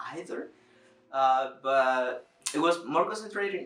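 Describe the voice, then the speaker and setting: A man's fairly high voice in a Spanish accent, at a very slow pace. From Dominican Republic. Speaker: youtuber. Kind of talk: personal vlog monologue. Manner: halting, with many fillers and repetitions.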